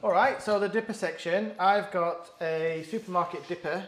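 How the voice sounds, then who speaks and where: Noticeable background noise runs under this male speaker. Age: 30s. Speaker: podcast host. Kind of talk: casual chat.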